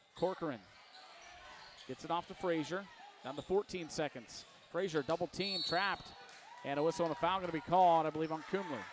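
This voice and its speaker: Over noticeable background noise, a man speaks at a fairly quick pace with long, frequent pauses, a high pitch and ordinary pitch variation, in a dry sound with no echo. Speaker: play-by-play announcer. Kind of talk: live basketball play-by-play commentary. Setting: gym courtside broadcast. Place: hall. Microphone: headset.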